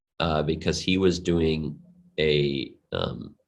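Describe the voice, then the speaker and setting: A man speaks with a very deep, low pitch. Room echo is audible. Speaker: crypto gaming advisor. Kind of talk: interview. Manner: halting, many fillers.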